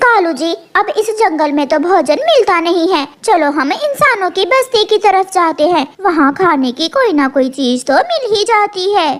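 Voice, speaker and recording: Using a cartoonish character voice at an extremely high pitch, a woman speaks at a moderate pace with hardly any pauses. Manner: chatty, lively.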